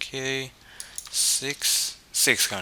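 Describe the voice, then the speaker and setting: A man speaks with a non-native accent. There is noticeable background noise. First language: not English. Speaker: 3D rendering tutorial maker. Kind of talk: software tutorial. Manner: halting, with fillers and repetitions.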